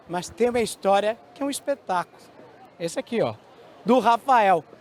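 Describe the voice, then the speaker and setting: A man with a high pitch and ordinary pitch variation at a moderate pace. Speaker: TV news presenter. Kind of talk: news presenting.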